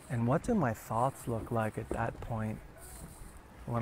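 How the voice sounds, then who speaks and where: Speaking at a moderate pace, a man with an American accent has a medium-pitched voice. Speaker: meditation teacher. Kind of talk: guided meditation. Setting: live video stream. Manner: soft-spoken.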